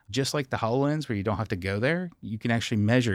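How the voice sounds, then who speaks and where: A man speaks in a Southern US accent on a very clean recording with a silent background. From Kentucky (Scottsville). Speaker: engineering manager. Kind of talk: casual interview.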